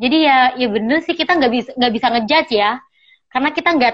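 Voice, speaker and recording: Words come out very quickly. The pitch rises and falls by an ordinary amount. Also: woman. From Sampang, Madura, Indonesia. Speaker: podcast host, master's student. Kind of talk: casual interview. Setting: remote call.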